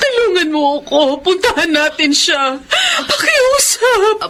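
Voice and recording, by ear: Slowly and in a put-on character voice, a woman speaks at extremely high pitch with big pitch swings and a fairly bright tone over faint background noise.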